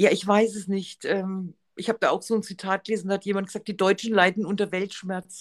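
Speaking at a fairly quick pace and medium pitch, a woman keeps a monotone, flat intonation in a dry, close sound with no echo. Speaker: podcast co-host. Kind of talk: casual chat.

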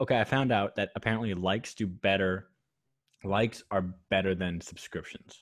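A man talks at a moderate pace in a normal speaking voice. His pitch is fairly low and his intonation fairly even. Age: 20s. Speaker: podcast host. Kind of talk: casual chat.

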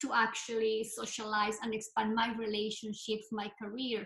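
A woman with a fairly high pitch and an unremarkable speaking voice, at a moderate pace. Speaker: clinical psychologist. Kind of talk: interview conversation.

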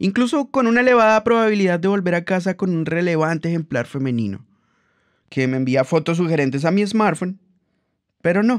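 This man's voice is pitched high and swings very widely up and down. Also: quiet background. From Colombia, Bogotá. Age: 30s. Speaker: podcaster. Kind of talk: personal storytelling monologue.

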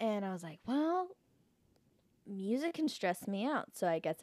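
A woman with an American accent speaks with very wide pitch swings on a very clean recording with a silent background. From Canada, then US (Oklahoma). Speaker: musician. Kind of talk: casual chat.

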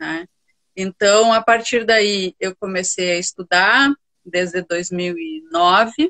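Woman at medium pitch, very slow pace, bright and sharp tone, ordinary pitch variation. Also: dry, close sound with no echo. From Rio Grande do Sul, Brazil (Santa Maria). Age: 50s. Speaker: university professor and restorative justice instructor. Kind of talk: interview conversation. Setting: Instagram live video stream.

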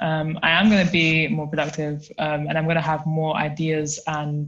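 Over a quiet background, a woman with a London accent speaks in a very deep, somewhat breathy voice at a moderate pace with monotone, flat intonation. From South London. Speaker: research assistant and climate activist. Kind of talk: casual chat.

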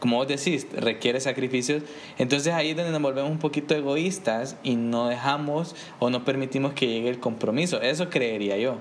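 A man speaks fairly quickly at a fairly high pitch with ordinary pitch variation. His loudness stays very even over noticeable background noise. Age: 20s. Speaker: podcast co-host. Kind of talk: casual chat.

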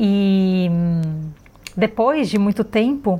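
With fairly even intonation, a woman talks in a medium pitch. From Brazil, Florianópolis. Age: 40s. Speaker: yoga teacher. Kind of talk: personal monologue.

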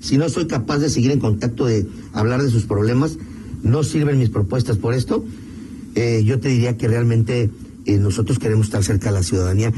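A man talks fairly quickly at medium pitch with ordinary pitch variation and very even loudness. It is a normal speaking voice. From Mexico, León, Guanajuato. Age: 50s. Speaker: political candidate. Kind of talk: radio interview.

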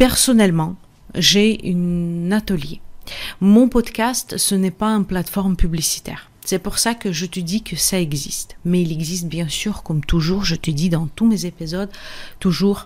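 A woman speaks at a fairly slow pace and a medium pitch, with ordinary pitch variation. The recording is very clean, with a silent background. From Russia. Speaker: podcast host and energy therapist. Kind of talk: casual teaching monologue. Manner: hesitant, frequent fillers.

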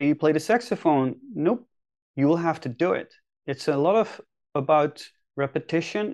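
The surroundings stay quiet. A man talks at a moderate speed. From Netherlands. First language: Dutch. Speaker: career and leadership coach. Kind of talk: podcast interview.

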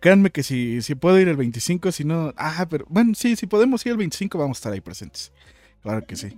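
Pitch swings very widely and loudness rises and falls a great deal. The recording is very clean, with a silent background. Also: man, fairly high pitch for a man. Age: 20s. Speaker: podcast host and streamer. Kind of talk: casual chat. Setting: live stream.

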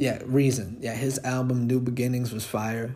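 At a moderate pace, a man speaks in a medium pitch with monotone, flat intonation. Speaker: rapper and podcast host. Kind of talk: casual solo monologue. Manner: quiet; relaxed with many fillers.

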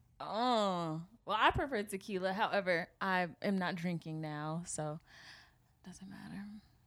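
A woman speaks in a normal speaking voice at a fairly slow pace, her medium pitch moving with ordinary variation while her loudness swings widely, on a very clean recording with a silent background. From Seattle area, US Pacific Northwest. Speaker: podcast co-host. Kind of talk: casual chat.

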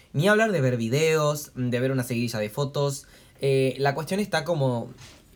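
A man at a medium pitch talks fairly quickly with ordinary pitch variation, noticeable background noise behind him. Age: 20s. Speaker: podcast co-host. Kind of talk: casual chat. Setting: home, recorded on a tablet.

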